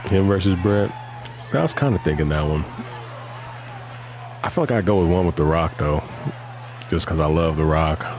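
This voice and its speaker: Whispering at a fairly quick pace with an American accent, a man keeps his loudness very even and leaves long, frequent pauses, with music in the background. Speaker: gaming streamer. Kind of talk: casual chat.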